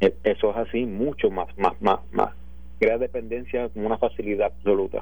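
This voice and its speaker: The speaker is a man with a Puerto Rican accent. His pace is moderate. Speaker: police commander. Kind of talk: interview. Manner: halting.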